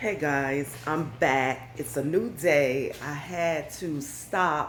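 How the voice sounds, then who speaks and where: A woman's voice comes with audible room echo. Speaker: home cleaning vlogger. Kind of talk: casual vlog narration.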